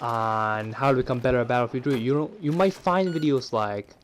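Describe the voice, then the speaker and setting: Talking fairly quickly with lively intonation, a man with a fairly high pitch comes through noticeable background noise. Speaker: gamer. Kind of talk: gameplay tutorial voice-over. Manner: casual, conversational.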